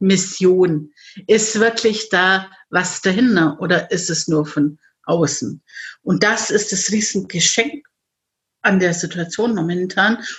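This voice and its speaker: A woman's medium-pitched, somewhat breathy voice at a very slow pace, with ordinary pitch variation and long, frequent pauses. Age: 50s. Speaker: life coach. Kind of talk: interview.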